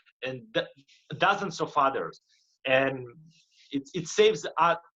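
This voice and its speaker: Speaking with a Russian accent, a man with a fairly high pitch and a bright, sharp tone talks at a fairly slow pace with ordinary pitch variation. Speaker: motivational speaker and life coach. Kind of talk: interview. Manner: halting, frequent repetitions.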